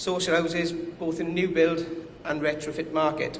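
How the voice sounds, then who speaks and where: A man with a strong Welsh accent speaks in a high, flat monotone, with noticeable background noise and audible room echo. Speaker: company commercial director. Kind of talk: conference presentation.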